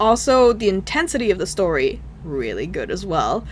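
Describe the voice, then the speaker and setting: A woman talks at a moderate speed while noticeable noise fills the background. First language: not English. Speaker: gaming YouTuber. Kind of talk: video game review. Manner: casual, halting with fillers.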